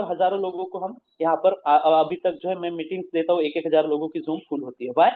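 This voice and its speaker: At a moderate pace, a man speaks with a Marathi accent. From Maharashtra, India. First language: Marathi (speaking Hindi). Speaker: business presenter. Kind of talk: motivational talk. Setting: video call.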